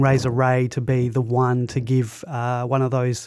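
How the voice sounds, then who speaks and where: A man's medium-pitched voice, dark and mellow in tone, very slow and monotone with flat intonation. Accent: Australian. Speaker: podcast host. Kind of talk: casual chat.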